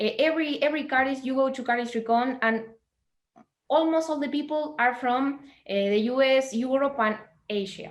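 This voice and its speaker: This woman has a high-pitched voice and speaks with a Spanish accent. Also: ordinary pitch variation, moderate pace. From Latin America. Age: 20s. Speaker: cardist. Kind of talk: interview conversation. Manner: halting.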